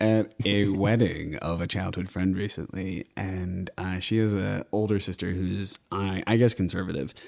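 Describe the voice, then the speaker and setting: A man with an American accent has an ordinary speaking voice at a fairly low pitch. He speaks at a fairly slow pace with hardly any pauses on a very clean recording with a silent background. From Austin, Texas. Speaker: podcast host and commercial producer. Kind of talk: casual chat. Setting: studio.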